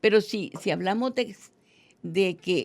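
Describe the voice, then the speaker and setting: A woman speaks with vocal fry on a very clean recording with a silent background. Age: 80s+. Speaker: teacher and education researcher. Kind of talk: interview.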